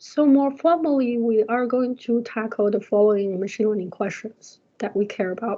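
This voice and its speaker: Moderate pace, ordinary pitch variation and hardly any pauses. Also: woman. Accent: non-native. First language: not English. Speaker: university lecturer. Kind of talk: lecture. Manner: hesitant, many fillers.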